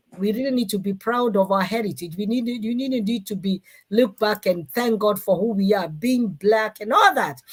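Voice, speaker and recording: Speaking with a Kenyan accent, a woman talks at a moderate pace and fairly high pitch, with ordinary pitch variation and hardly any pauses. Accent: Kikuyu Kenyan accent, unchanged. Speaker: talk show host and former mayor. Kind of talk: live-stream talk show. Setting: online live stream.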